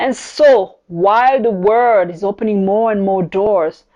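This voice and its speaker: Over a quiet background, a woman with a dark, mellow tone and fairly high pitch speaks fairly slowly with lively intonation. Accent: French. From France, Paris. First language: French. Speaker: podcast host, business coach. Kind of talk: podcast monologue.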